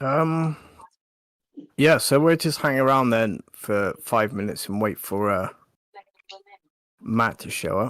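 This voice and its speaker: A man with a West Country accent, medium pitch and lively intonation, at a fairly slow pace with long, frequent pauses. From southern England, Wiltshire. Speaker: gaming livestream co-host. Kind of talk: casual chat.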